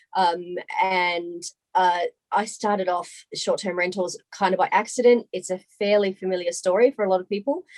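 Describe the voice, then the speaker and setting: A woman speaks in an Australian accent at a medium pitch, with fairly even intonation. The sound is dry and close, with no echo. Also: moderate pace. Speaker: short-term rental business owner. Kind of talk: interview.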